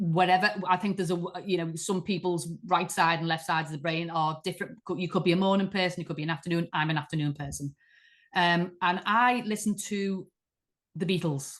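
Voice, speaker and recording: A woman's fairly low voice with a Liverpool accent, fairly quick in pace, against a quiet background. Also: fairly even intonation. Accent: Liverpool (Scouse). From Liverpool, England. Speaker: artist. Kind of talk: interview conversation.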